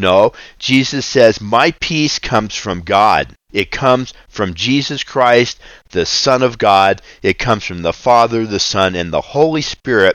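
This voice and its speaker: A man's medium-pitched voice, a plain, everyday voice, at a fairly slow pace with ordinary pitch variation. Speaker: ministry founder and preacher. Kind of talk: devotional Bible reading and prayer. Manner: earnest, fervent, preaching.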